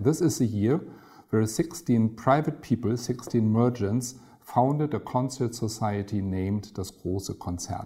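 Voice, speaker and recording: A man with a German accent speaks at a fairly slow pace in a medium-pitched voice, dark and mellow in tone and somewhat breathy. His pitch varies in an ordinary way, and the recording is very clean with a silent background. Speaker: concert hall director. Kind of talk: interview.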